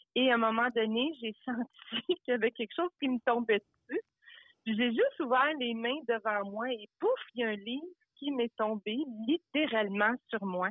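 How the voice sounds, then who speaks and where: A woman with a normal speaking voice, fairly high in pitch, ordinary pitch variation, moderate pace. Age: 60s. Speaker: life coach. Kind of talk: interview.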